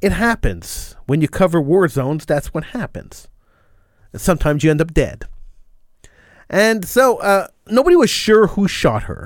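Here a man talks in a high pitch with lively intonation at a moderate pace. Long pauses come often. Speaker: radio host. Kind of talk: live talk radio show. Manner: opinionated.

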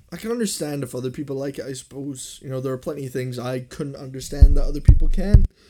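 Amid noticeable background noise, a man talks at a very fast pace with hardly any pauses, big swings in loudness and ordinary pitch variation. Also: fairly high pitch for a man. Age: 20s. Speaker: podcast host. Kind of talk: casual chat.

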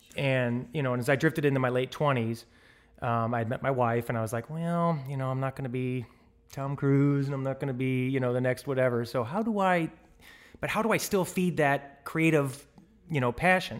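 Using a normal speaking voice, a man talks with an American accent at a fairly quick pace. His pitch is medium, with ordinary pitch variation. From US Midwest, St. Louis, Missouri. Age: 40s. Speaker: television director. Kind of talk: interview conversation.

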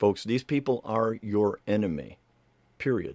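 A man's medium-pitched voice at a moderate pace, dry and close with no echo, on a very clean recording with a silent background. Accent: American. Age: 50s. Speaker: political livestream host. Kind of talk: political commentary monologue. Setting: live stream. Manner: animated.

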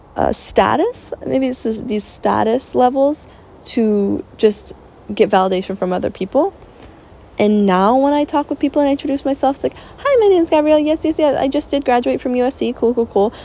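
A woman speaks at a moderate pace in a high pitch, with lively intonation and an animated tone, against noticeable background noise. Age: 20s. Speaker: podcaster. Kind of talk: casual monologue.

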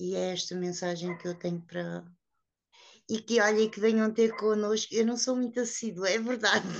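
With a plain, everyday voice, a woman speaks at a moderate pace in a fairly high pitch and fairly even intonation. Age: 50s. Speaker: woman living with HIV, association member. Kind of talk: personal testimony.

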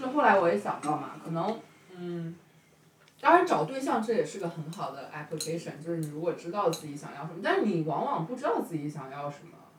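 The pace is fairly quick. Noticeable background noise runs under the voice. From China, northeastern family. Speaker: podcast host. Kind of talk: casual chat. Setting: home kitchen, making dumplings.

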